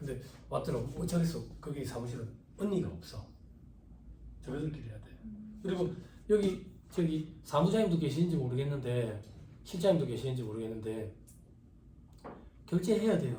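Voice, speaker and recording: A man with a fairly high pitch, vocal fry and a dark, mellow tone speaks at a fairly quick pace with very wide pitch swings. He takes long, frequent pauses, and audible room echo is present. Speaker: tax practice lecturer. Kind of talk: lecture. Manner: casual, conversational.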